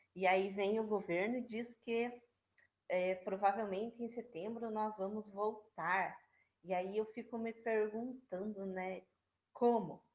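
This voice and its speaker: Her voice is fairly high for a woman, with fairly even intonation. She speaks at a very slow pace. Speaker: schoolteacher. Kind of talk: online class. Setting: video call. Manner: casual, hesitant fillers.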